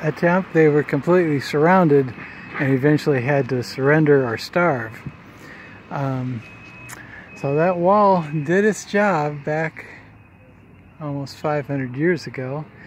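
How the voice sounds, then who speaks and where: A man with an American accent in a relaxed tone, fairly slow with long, frequent pauses and ordinary pitch variation, over noticeable background noise. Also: fairly high pitch for a man. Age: 60s. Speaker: vlogger. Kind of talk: casual vlog narration. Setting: outdoors. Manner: relaxed, conversational.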